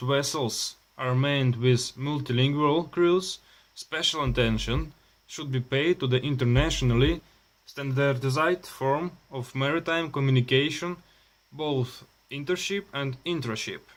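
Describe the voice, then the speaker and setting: A man with a Russian accent speaks at a moderate pace in a fairly high pitch, with ordinary pitch variation. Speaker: maritime student. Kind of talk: reading aloud. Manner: halting.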